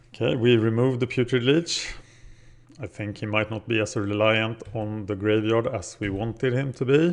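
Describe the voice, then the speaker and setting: A man speaks with a Scandinavian accent at a moderate pace. His pitch is medium, with ordinary pitch variation. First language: Scandinavian language. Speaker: gaming video creator. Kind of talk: gameplay commentary. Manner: casual, thinking aloud.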